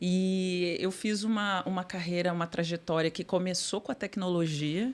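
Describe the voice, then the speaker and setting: A woman's medium-pitched voice at a moderate pace, on a very clean recording with a silent background. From Brazil, Porto Alegre. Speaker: corporate sustainability executive. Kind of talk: podcast interview. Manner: halting, many fillers.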